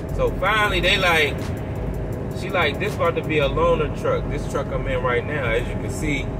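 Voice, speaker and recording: Music plays behind the voice. The man's delivery keeps a moderate pace. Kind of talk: casual vlog chat. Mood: frustrated ranting storytelling. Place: car. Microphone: phone near.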